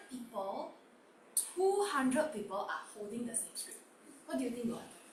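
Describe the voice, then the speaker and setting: A woman speaks at a moderate pace in a high voice, her pitch swinging very widely. Noticeable background noise and audible room echo fill the recording. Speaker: online workshop host. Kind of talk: interactive online workshop. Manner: loud.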